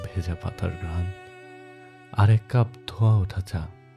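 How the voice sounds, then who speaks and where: Music plays behind a man whose very deep, low pitch shows ordinary variation. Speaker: radio jockey, radio-style host. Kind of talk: radio-style morning show intro with poetic narration.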